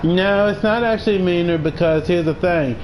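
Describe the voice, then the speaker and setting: Amid noticeable background noise and audible room echo, a man with a high pitch speaks with ordinary pitch variation. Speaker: gaming streamer. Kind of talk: live stream chat. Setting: live stream. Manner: intense-sounding.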